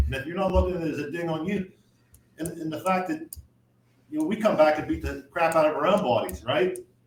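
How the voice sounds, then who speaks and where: A man speaks loudly at a very fast pace, his high pitch moving with ordinary variation. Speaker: firefighter. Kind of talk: casual chat.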